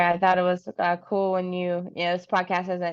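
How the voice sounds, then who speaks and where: Speaking at a fairly quick pace, a woman with an American accent has an unremarkable speaking voice at a medium pitch. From Kentucky, US South. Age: 30s. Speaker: professional wrestler. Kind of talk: casual chat.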